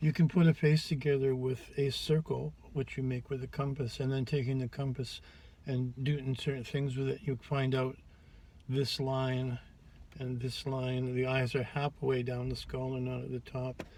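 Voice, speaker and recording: A man's somewhat breathy, medium-pitched voice has a dark, mellow tone and a flat, monotone delivery. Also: moderate pace. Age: 70s. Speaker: drag makeup vlogger. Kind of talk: tutorial. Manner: halting.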